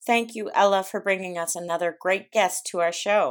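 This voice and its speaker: Over a silent background on a very clean recording, a woman speaks in a plain, everyday voice, fairly low in pitch, with fairly even intonation at a moderate pace. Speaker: podcast host. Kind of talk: scripted intro.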